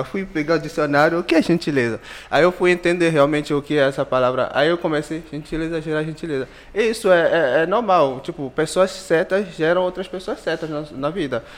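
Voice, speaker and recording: His pace is fairly quick. This man's fairly high voice shows ordinary variation in pitch. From Benin. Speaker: entrepreneur and doctoral student. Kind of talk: casual chat.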